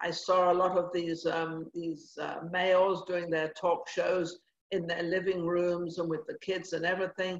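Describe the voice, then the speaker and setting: Fairly slow, fairly low-pitched speech from a woman. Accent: English. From England. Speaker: TV talk show host and former actress/model. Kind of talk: casual interview chat. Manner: animated.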